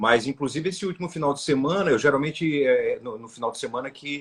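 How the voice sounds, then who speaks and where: A man is speaking here. His pace is fairly quick. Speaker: comedian. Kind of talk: interview. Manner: halting.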